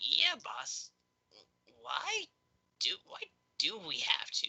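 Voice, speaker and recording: Someone delivers the lines very slowly in a put-on character voice. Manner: piping up, questioning.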